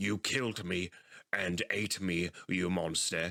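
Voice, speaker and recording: In a put-on character voice, a man speaks raspy and very deep, low, at a fairly slow pace in a very clean recording with a silent background. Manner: squealing, accusing.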